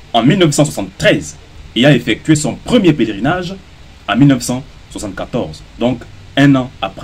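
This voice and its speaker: A man with a Gabonese accent talks with a fairly high pitch and vocal fry. Long, frequent pauses break up his speech. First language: Gisir (speaking French). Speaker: social media commentator. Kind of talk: opinion monologue. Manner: formal; combative.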